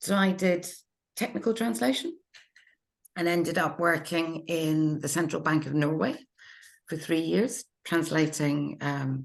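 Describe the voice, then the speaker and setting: With vocal fry, a woman talks in a fairly low pitch. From UK, Norwegian mother. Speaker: literary translator. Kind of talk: panel discussion.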